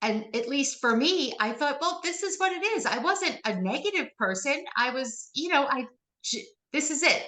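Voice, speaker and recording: A woman speaks in a raised, projected voice, high-pitched with very wide pitch swings, her tone bright and sharp, at a moderate pace. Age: 50s. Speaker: author. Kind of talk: interview.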